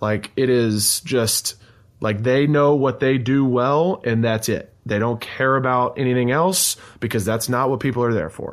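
An unremarkable speaking voice from a man, medium in pitch and fairly slow, with ordinary pitch variation. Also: quiet background. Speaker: podcast host. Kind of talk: casual chat.

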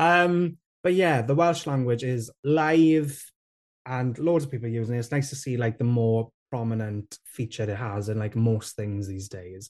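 Speaking in a South Wales Valleys accent, a man of medium pitch uses lively intonation at a moderate pace over a quiet background. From south Wales valleys (Rhondda). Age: 20s. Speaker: TikTok creator and presenter. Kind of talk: interview.

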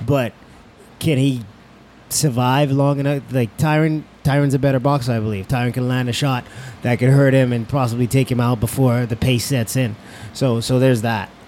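An unremarkable speaking voice at a moderate pace. The intonation stays fairly even. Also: man, medium pitch for a man. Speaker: MMA fighter and commentator. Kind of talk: casual chat. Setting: studio.

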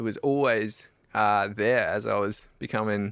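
A man with an Australian accent and fairly low pitch is heard in a very clean recording with a silent background. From South Australia. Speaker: adventure cyclist. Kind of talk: interview.

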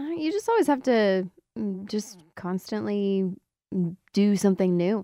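With lively intonation and a dark, mellow tone, a woman speaks at a fairly slow pace in a dry, close sound with no echo. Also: medium pitch for a woman. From Windsor, Ontario, Canada. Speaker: country singer. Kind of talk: casual interview. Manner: hesitant, many fillers.

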